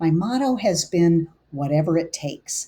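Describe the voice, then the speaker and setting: A woman speaks at a moderate pace in a fairly low, somewhat breathy voice with a dark, mellow tone and ordinary pitch variation. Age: 60s. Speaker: integrative medicine physician. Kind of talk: scripted presentation.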